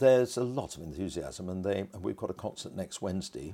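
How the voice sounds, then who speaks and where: A man speaks at a fairly quick pace in a dark, mellow tone with vocal fry. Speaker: choral conductor and music teacher. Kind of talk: interview. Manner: animated.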